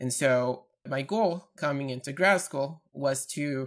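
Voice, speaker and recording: Here a man with a Portuguese accent speaks at a medium pitch. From Brazil, Campinas, São Paulo. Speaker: PhD researcher in neuroscience. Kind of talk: interview.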